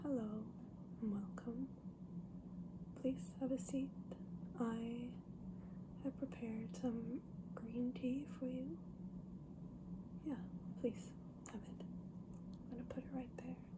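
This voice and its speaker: Soft-spoken and very slow, the voice comes through over noticeable background noise. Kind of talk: ASMR book haul, casual talk to camera.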